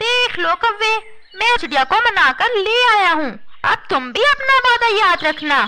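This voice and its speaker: Over clear background noise, a woman puts on a cartoonish character voice at an extremely high pitch, moving at a moderate pace. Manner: sly, self-assured.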